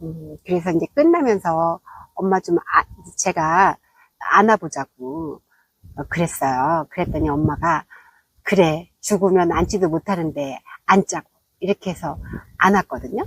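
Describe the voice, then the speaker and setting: Fairly slow speech from a woman with fairly low pitch and ordinary pitch variation, long, frequent pauses, and a dry, close sound with no echo. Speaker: vlogger. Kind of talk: casual vlog monologue. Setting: outdoors.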